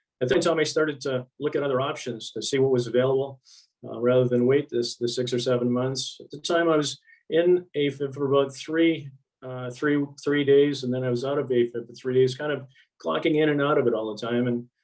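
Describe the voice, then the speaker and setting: Fairly even in intonation, a man talks at a medium pitch and a fairly quick pace. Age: 60s. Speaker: patient giving testimony. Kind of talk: testimony. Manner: halting, many fillers.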